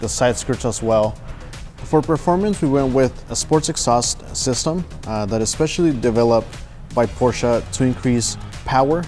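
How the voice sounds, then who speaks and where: Faint music plays in the background as a man talks at a moderate pace with ordinary pitch variation. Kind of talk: product walkthrough. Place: studio. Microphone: lapel.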